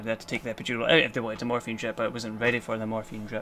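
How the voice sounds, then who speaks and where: With a Scottish accent, a man talks at a medium pitch. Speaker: vlogger, cancer patient. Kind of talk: casual vlog monologue. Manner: fast.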